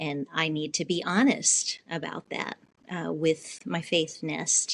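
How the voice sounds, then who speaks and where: A woman with a very deep, low pitch and vocal fry speaks very slowly with ordinary pitch variation, the sound dry and close with no echo. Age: 70s. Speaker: podcast co-host. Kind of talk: interview conversation.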